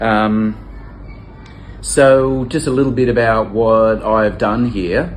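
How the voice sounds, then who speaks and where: A man with an Australian accent speaks very slowly in a fairly low voice. The recording has audible room echo and noticeable background noise. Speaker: volunteer teacher. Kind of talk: testimonial interview. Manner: halting, many fillers and repeats.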